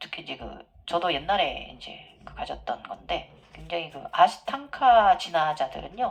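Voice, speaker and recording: A woman talks at a fairly slow pace with hardly any pauses. Her loudness swings a lot over noticeable background noise. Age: middle-aged. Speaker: yoga teacher and spiritual channel host. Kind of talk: Q&A monologue.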